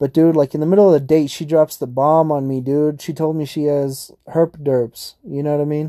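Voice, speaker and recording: In a dry, close recording with no echo, a man speaks at a moderate pace with a fairly high pitch, a dark, mellow tone and monotone, flat intonation. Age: 20s. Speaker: podcast host. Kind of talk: casual monologue.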